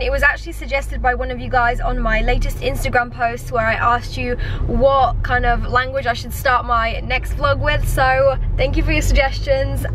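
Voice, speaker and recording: The sound is dry with no echo, though noticeable background noise is present. A woman speaks at a moderate pace. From Poland, raised in England. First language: Polish. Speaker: vlogger. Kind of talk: casual vlog talk to camera. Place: car. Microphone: phone near.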